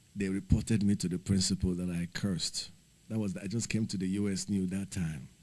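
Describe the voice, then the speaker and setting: At a fairly quick pace, a man talks in a fairly low, dark, mellow voice with ordinary pitch variation. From Nigeria. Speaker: livestreamer, former teacher. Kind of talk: casual livestream chat.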